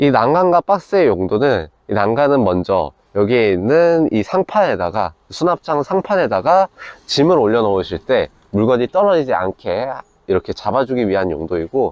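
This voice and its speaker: A man's voice with very wide pitch swings, in dry, close sound with no echo against a quiet background. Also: medium pitch for a man, moderate pace. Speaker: camper van builder presenting a vehicle. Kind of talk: product walkthrough.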